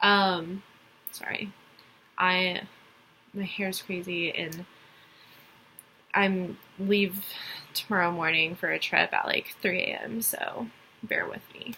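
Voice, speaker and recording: In a slight Texas accent, a woman speaks at medium pitch and a very slow pace. Her intonation is monotone and flat, with long, frequent pauses. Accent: slight Texas accent, some country twang. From Texas (Dallas). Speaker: college student. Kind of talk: class assignment presentation. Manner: hesitant, many fillers.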